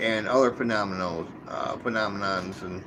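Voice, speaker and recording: Clear background noise runs through this clip. The speaker is a man. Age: 60s. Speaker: live streamer, cryptid hunter. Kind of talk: live stream monologue. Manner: halting, with many repetitions.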